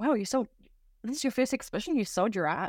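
A woman in a New Zealand accent, dry and close with no echo, on a very clean recording with a silent background. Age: 30s. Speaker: artist. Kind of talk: interview.

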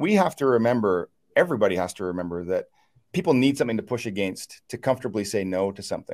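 Over a silent background on a very clean recording, a man with a Maritime Canadian accent talks very fast at a medium pitch with lively intonation. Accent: Canadian (Maritimes). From Eastern Canada, New Brunswick. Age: 40s. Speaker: real estate agent and team leader. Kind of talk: interview.

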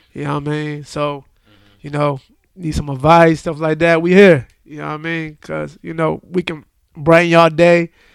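On a very clean recording with a silent background, a man with an American accent and a fairly high pitch speaks at a moderate pace with monotone, flat intonation and big swings in loudness. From western Pennsylvania, Aliquippa. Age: 30s. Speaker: podcast co-host. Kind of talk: casual chat.

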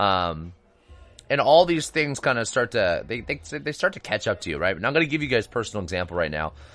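Over music in the background, a man talks at a fairly quick pace. His medium pitch swings very widely. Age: 30s. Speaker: health and fitness podcast host. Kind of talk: solo podcast monologue. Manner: casual, conversational with fillers.

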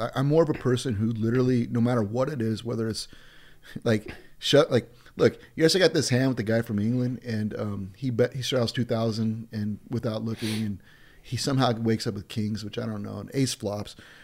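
A plain, everyday voice speaks with an American accent. The pace is fairly quick, with ordinary pitch variation. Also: man, medium pitch for a man. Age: 40s. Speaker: poker player and casino owner. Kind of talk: podcast interview.

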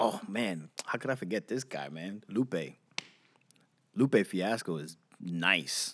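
With a New York accent, a man speaks at a very slow pace, taking long, frequent pauses, his intonation lively. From Queens and Long Island, New York. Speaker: podcast co-host. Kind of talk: casual chat.

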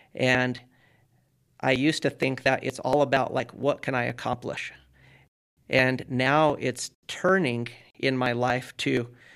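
On a very clean recording with a silent background, a man talks at a very slow pace in a monotone, flat way. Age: 40s. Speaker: entrepreneur and ultramarathon runner. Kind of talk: casual chat.

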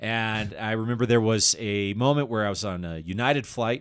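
This man has an unremarkable speaking voice with a General American accent. His medium pitch moves with ordinary variation. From Colorado, Denver area. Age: 30s. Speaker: comedian. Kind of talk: casual interview chat.

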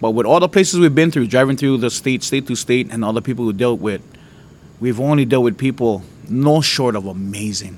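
Ordinary pitch variation and a fairly quick pace mark this voice with a Hawaiian accent. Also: man, medium pitch for a man. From Hawaii, Oahu. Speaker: preacher. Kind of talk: testimony.

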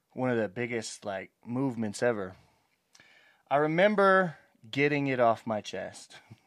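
The recording is very clean, with a silent background. A medium-pitched man speaks with lively intonation and long, frequent pauses. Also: fairly slow pace. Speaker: podcast co-host and rapper. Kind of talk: casual banter. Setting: podcast recording with headphones. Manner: joking, talkative.

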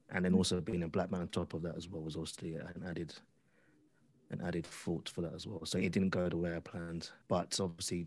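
In a British accent, a man talks at a very fast pace with a very deep, low pitch and monotone, flat intonation. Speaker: audio drama creator. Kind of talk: interview. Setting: video call.

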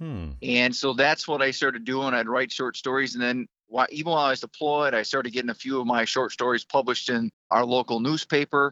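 Fairly quick and fairly even in intonation, a man speaks at a medium pitch in an ordinary speaking voice. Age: 50s. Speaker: author, military service member. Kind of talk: interview.

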